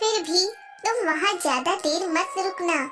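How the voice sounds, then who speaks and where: A squeaky, cartoonish character voice from a woman, extremely high in pitch, at a fairly slow pace over clear music in the background. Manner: anxious, cautioning.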